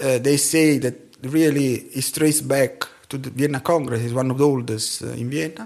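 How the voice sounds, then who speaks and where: A man with an Italian accent. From Italy. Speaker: scientist and tango dancer. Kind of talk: interview.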